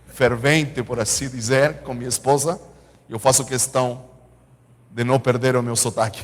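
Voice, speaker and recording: A man speaks at a fairly slow pace in a medium-pitched voice. His intonation is monotone and flat. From Chile. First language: Spanish (speaking Portuguese). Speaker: pastor. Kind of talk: sermon. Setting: church.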